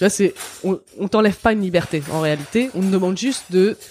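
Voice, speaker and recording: Ordinary pitch variation and a moderate pace mark this dark, mellow tone. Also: woman. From France. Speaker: author and feminist. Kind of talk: interview.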